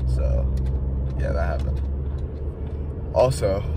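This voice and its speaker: Loud background noise fills the clip. Through it, a man talks at a moderate pace. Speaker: vlogger. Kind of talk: casual vlog chat. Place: car. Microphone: phone near.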